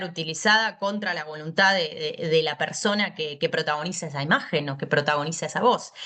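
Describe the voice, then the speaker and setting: The speaker has a Buenos Aires accent and moves at a fairly quick pace. Pitch variation is ordinary. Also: woman. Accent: porteño Argentine Spanish. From Buenos Aires, Argentina. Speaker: law lecturer. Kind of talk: lecture. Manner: fast.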